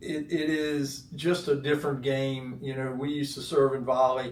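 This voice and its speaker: A man's fairly slow, monotone, flat delivery with an American accent, amid audible room echo and noticeable background noise. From North Carolina. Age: 60s. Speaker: former pro tennis player, real estate executive. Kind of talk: interview. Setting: studio.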